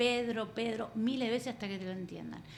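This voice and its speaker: A woman with an Argentine accent speaks very fast at a fairly high pitch, with ordinary pitch variation. Audible room echo surrounds her voice. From Argentina. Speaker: coach and therapist. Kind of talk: interview.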